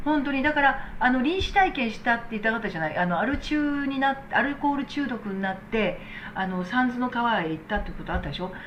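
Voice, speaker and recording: A woman with a high voice talks at a fairly quick pace and with lively intonation, hardly pausing at all, while noticeable background noise runs underneath. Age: 60s. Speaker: medical technician and business owner. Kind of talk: casual talk replying to viewer comments.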